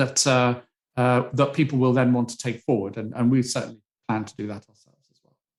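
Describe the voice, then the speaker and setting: Talking at a fairly quick pace, a man with a British accent keeps a medium pitch. His intonation is monotone and flat, while his loudness swings widely. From Britain. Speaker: psychology professor. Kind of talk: interview. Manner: halting.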